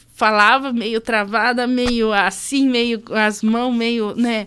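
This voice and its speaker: In a very clean recording with a silent background, a woman talks at a fairly slow pace in a fairly high pitch. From southern Brazil, rural Concórdia, western Santa Catarina. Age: 20s. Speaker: rural producer and speaker. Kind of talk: podcast interview. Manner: hesitant, many fillers.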